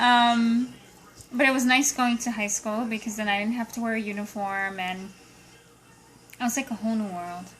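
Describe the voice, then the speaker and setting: Over music in the background, a woman with a Portuguese accent speaks at a moderate pace with long, frequent pauses, a fairly high pitch, and fairly even intonation. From Brazil, moved to US at age nine. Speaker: accountant interviewed by niece. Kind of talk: casual interview.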